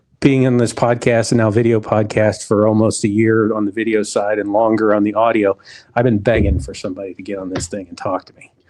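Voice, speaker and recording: At a moderate pace, a man with an unremarkable speaking voice talks at a medium pitch. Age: middle-aged. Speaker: podcast host. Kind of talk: casual interview.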